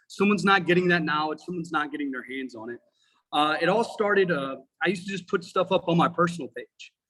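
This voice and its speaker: Talking at a very fast pace, a man with a high pitch uses ordinary pitch variation in an animated tone that is bright and sharp. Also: big swings in loudness. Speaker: firefighter and instructor. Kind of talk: casual chat. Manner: loud.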